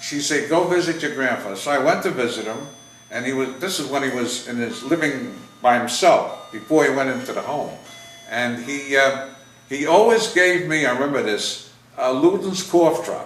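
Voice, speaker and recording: A man with fairly high pitch and lively intonation at a moderate pace, with noticeable background noise and audible room echo. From US Northeast, New York City (Bronx). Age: 80s+. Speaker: WWII veteran interviewed about family history. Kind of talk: casual family interview. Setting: home video interview on camera. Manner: halting.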